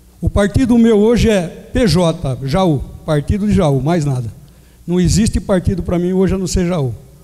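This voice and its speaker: Noticeable background noise sits behind a man with a high voice. He talks at a moderate pace with lively intonation. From Jaú, São Paulo state, Brazil. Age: 60s. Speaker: mayoral candidate. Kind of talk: political debate opening statement. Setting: amphitheater debate with audience.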